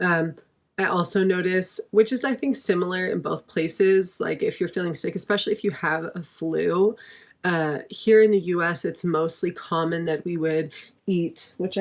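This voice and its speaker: In a very clean recording with a silent background, a woman with an American accent speaks in a normal speaking voice at medium pitch, a moderate pace, and fairly even intonation. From United States. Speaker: expat vlogger. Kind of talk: casual talk to camera.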